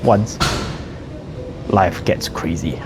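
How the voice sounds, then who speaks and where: A man is speaking. Music plays in the background. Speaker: fitness vlogger. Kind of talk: casual vlog monologue. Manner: halting. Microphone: poor audio.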